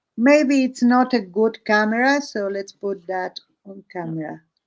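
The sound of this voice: A woman talks at a slow pace with ordinary pitch variation.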